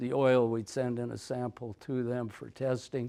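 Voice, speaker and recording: Medium-pitched man's voice with an Upper Midwest accent, a dark, mellow tone, a moderate pace and monotone, flat intonation. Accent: Upper Midwest American. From North Dakota. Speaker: retired forest research technician. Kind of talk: conference presentation.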